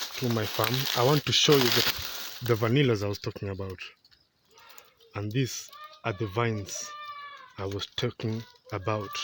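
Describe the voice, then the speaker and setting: The speaker has a non-native accent and fairly even intonation. The pace is fairly slow. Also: man. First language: not English. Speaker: vanilla farmer. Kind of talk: farm tour. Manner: halting.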